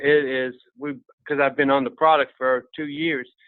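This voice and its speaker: A man talks in a plain, everyday voice. His fairly high pitch stays fairly even in intonation. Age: 60s. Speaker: network marketing distributor. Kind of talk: testimony. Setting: conference call.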